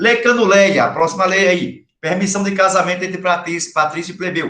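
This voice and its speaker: A man projects a raised voice with a bright, sharp tone and a high pitch, speaking at a moderate pace. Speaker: high school history teacher. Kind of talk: online lecture.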